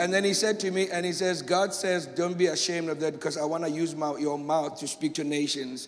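Fairly quick and high-pitched, a man's voice keeps fairly even intonation amid audible room echo. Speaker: pastor. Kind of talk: testimony. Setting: church.

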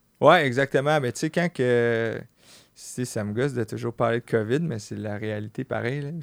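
In a Quebec accent, a man talks at medium pitch with ordinary pitch variation, and the sound is dry and close with no echo. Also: moderate pace. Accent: Québécois French. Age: 30s. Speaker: clothing entrepreneur. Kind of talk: casual chat.

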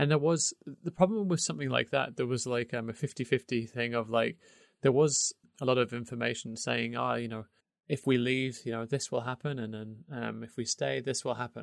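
At a fairly quick pace, a man with an English accent speaks with ordinary pitch variation in a dry, close sound with no echo and a quiet background. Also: medium pitch for a man. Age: 30s. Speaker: podcast co-host. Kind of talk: casual chat.

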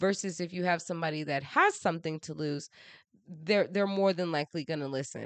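A woman talks at a fairly quick pace in a very deep, low pitch with ordinary pitch variation. The background is quiet. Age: 30s. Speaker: podcast host. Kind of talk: casual monologue. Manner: animated.

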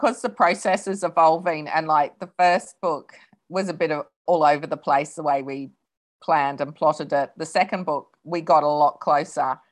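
A woman with an Australian accent talks at a moderate pace in a very deep, low voice with ordinary pitch variation. The background is quiet. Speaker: novelist. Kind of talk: interview.

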